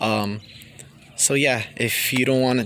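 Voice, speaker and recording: A man speaks at a medium pitch. Noticeable noise sits in the background. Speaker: car YouTuber. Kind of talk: casual vlog talk. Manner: stuttering, many fillers.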